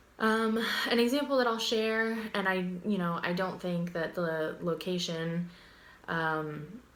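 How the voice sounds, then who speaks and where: A woman with a fairly low voice speaks with an American accent. Audible room echo surrounds her words. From Pittsburgh and Florida, US. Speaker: university student. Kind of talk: class presentation video. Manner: casual, many fillers (um).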